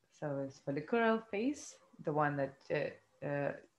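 Lively intonation marks a delivery that is fairly slow. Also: woman. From Lithuania. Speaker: podcast co-host. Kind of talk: casual chat. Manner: halting.

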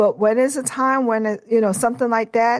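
On a very clean recording with a silent background, a woman speaks. She has a New York accent and fairly even intonation. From Brooklyn, New York. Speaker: federal law enforcement manager. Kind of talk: interview.

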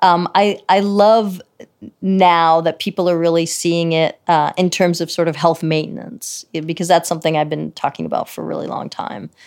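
In a plain, everyday voice, a woman talks at a moderate pace with fairly even intonation and a fairly low pitch. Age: 50s. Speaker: psychiatrist. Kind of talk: interview.

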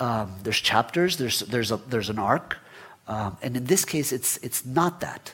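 A man talks with a Spanish accent. His intonation is lively. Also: medium pitch for a man, moderate pace. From Guatemala, raised in Florida US. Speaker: writer. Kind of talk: onstage interview. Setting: stage with audience. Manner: hesitant, repeats words.

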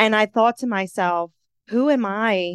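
A woman uses a plain, everyday voice with an American accent at a medium pitch. She talks at a fairly slow pace with ordinary pitch variation, and the sound is dry and close with no echo. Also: quiet background. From Philadelphia, US. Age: 30s. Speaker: life coach and podcaster. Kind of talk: interview conversation.

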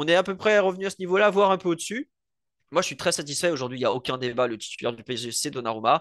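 Against a quiet background, a man with a fairly high voice talks at a very fast pace with lively intonation. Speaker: football podcaster. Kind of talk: casual chat.

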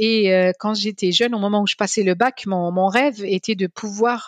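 At a moderate pace, a woman talks in an ordinary speaking voice at medium pitch with ordinary pitch variation, the sound dry and close with no echo. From Algeria, Algiers. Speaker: energy policy scientist and economist. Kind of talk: interview.

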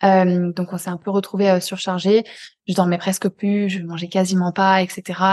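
A woman's monotone, medium-pitched voice with flat intonation against a quiet background. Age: 20s. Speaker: neuroscience coach for highly sensitive people. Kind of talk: casual conversation interview.

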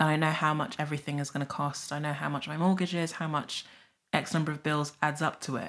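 Very fast and monotone, a woman with a South London accent talks at a very deep, low pitch. The recording is very clean, with a silent background. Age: 30s. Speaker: author and money writer. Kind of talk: casual chat.

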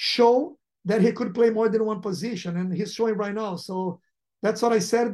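Speaking with a Portuguese accent, a man with a high pitch and a dark, mellow tone keeps a fairly even intonation. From Brazil. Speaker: football sporting director. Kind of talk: interview.

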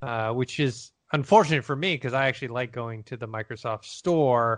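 Over a quiet background, a man speaks at a moderate pace in an unremarkable speaking voice with medium pitch. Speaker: podcast host. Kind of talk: casual chat.

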